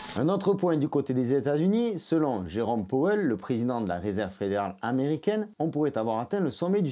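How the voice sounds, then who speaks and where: A man's fairly high, dark and mellow voice in a southern French accent, fairly quick, with very wide pitch swings, in a very clean recording with a silent background. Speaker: crypto YouTuber. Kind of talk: scripted narration.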